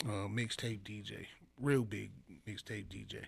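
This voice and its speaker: With an American accent, a man is talking. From Chicago, US Midwest. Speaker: rapper. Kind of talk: casual interview chat. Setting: studio.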